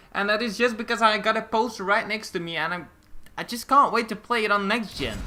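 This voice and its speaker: Noticeable background noise surrounds a man speaking at a very fast pace. His voice is high-pitched, raised and projected. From Belgium, Flemish part. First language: Dutch. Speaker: gaming YouTuber. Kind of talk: gameplay commentary. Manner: halting, stumbling over words.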